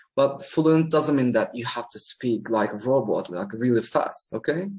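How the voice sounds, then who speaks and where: A medium-pitched male voice with a Turkish accent over a quiet background. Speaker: English teacher. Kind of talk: tutorial. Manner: natural pace with hesitations.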